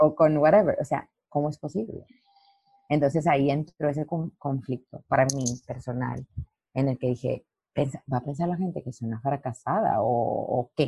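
A woman with very deep, low pitch, somewhat breathy, at a moderate pace with ordinary pitch variation and a dry, close sound with no echo. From Mexico, Lerdo, Durango. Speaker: dancer and dance teacher. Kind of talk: interview.

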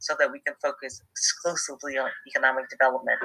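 Backed by music, a woman delivers her words at a medium tempo. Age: 50s. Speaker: business leader and speaker. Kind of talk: interview.

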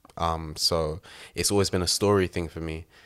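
A man speaks with a London accent and fairly even intonation. The recording is very clean, with a silent background. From East London. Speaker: photographer and assistant director. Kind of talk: casual interview.

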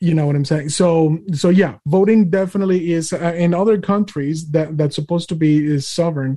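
A man with a high pitch and a dark, mellow tone talks at very even loudness with fairly even intonation and hardly any pauses. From Mexico. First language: Spanish. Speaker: podcast host. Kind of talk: interview / casual political chat. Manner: hesitant, many fillers.

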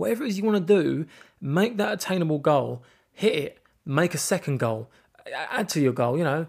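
On a very clean recording with a silent background, a man with an English accent talks at a fairly quick pace, his fairly high pitch carrying lively intonation. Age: 20s. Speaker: podcast host. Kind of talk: personal monologue. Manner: halting.

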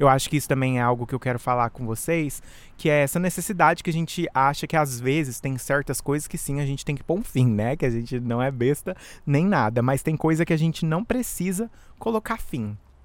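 In a very clean recording with a silent background, a man with a fairly high pitch talks fairly quickly, animated and lively in intonation. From Brazil. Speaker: podcast host and musician. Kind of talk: casual solo monologue. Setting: outdoors in backyard.

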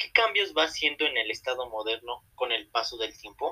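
Bright and sharp in tone, a man speaks at a moderate pace with a fairly high pitch and very wide pitch swings. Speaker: university student podcast host. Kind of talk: scripted class podcast.

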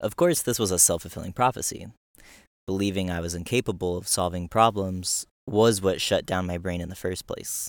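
In a very clean recording with a silent background, a man with a very deep, low pitch talks at a fairly quick pace using fairly even intonation. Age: 20s. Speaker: attachment coach. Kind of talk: reading aloud. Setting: on the road, bikepacking trip.

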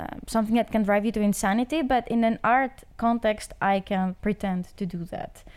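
A woman with a Greek accent talks at a fairly high pitch with ordinary pitch variation. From Greece. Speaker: art student. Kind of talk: casual chat.

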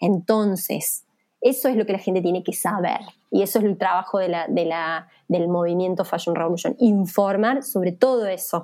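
Dark and mellow, a woman's medium-pitched voice moves at a moderate pace with ordinary pitch variation. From Argentina, Villa María, Córdoba. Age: 30s. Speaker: fashion activist, NGO coordinator. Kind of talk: interview.

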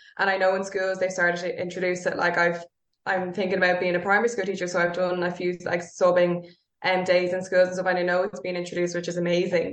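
Speaking at a very fast pace, a woman with a Dublin accent uses a medium pitch and monotone, flat intonation. Room echo is audible. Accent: Dublin Irish. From Ireland, North Dublin. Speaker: yoga teacher. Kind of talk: casual chat.

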